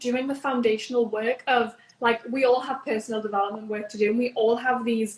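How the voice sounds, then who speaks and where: A high-pitched woman's voice in a Newcastle accent, at a moderate pace with fairly even intonation. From northern England, Newcastle. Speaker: entrepreneur, business founder. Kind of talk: interview.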